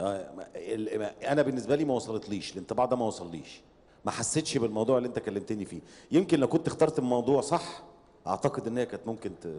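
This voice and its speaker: A man speaking at a very fast pace, with lively intonation. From Egypt. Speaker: competition judge, media professional. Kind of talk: feedback to contestants. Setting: stage with audience. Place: stage. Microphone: handheld.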